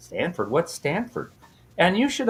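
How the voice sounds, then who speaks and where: This is a man speaking. He has an American accent. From US West Coast, San Diego. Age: 60s. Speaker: minister and math teacher. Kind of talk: casual interview. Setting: podcast.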